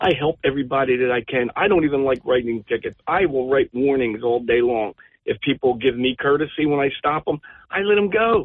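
A man's fairly high voice with a New Jersey accent, fairly quick, very even in loudness, with lively intonation. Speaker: police officer. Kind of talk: call-in discussion. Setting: phone call. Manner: halting.

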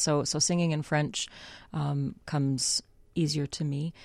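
A woman with a very deep, low pitch and a Canadian accent. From Canada, Winnipeg. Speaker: opera singer. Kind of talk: casual chat. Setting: studio.

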